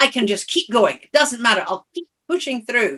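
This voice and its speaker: Lively intonation in a woman's voice, the tone bright and sharp. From Scotland. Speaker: coach and author. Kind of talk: podcast interview.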